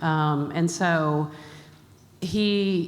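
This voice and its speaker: The woman's voice is very deep and low, with ordinary pitch variation. Audible room echo surrounds her. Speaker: health charity executive. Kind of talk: conference talk. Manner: many filler words.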